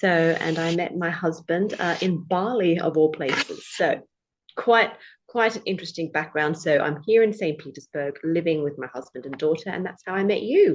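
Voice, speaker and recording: Speaking at a moderate pace, a woman with a British accent uses a fairly low pitch and ordinary pitch variation. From Australia, born in the UK. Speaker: English tutor and former lawyer. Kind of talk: podcast interview.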